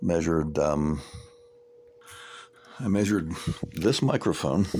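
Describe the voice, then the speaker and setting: Over noticeable background noise, a man with a very deep, low pitch speaks fairly slowly, with ordinary pitch variation. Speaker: amateur radio operator and electronics tinkerer. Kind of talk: technical tutorial monologue. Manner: halting, repeats words.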